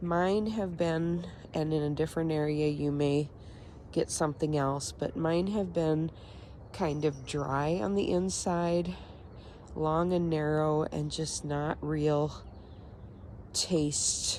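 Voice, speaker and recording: Very slowly, a woman speaks in a very deep, low pitch with fairly even intonation. She leaves long, frequent pauses. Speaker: home gardener. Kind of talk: casual talk to camera. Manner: hesitant, many filler words.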